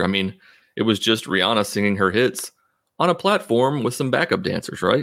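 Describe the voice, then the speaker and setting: A man with a normal speaking voice at medium pitch, lively intonation and a fairly quick pace, on a very clean recording with a silent background. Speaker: atheist podcast host.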